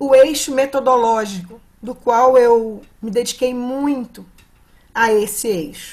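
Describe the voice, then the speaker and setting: A woman talks in a high pitch, and her pitch varies in an ordinary way. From Brazil, Minas Gerais. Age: 70s. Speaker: psychologist and dance therapy facilitator. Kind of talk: conference talk. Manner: halting, with fillers.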